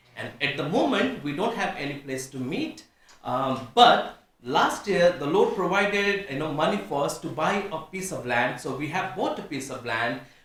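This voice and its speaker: A man with a Nepali accent speaks at a fairly high pitch with lively intonation, at a moderate pace with hardly any pauses. Audible room echo and noticeable background noise fill the recording. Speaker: pastor. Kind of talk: testimony. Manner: halting.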